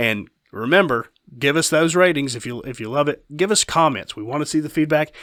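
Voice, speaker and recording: Speaking at a fairly quick pace, the voice is a plain, everyday voice with ordinary pitch variation and big swings in loudness. The recording is very clean, with a silent background. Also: man, fairly high pitch for a man. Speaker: podcast host and company owner. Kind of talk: casual podcast chat.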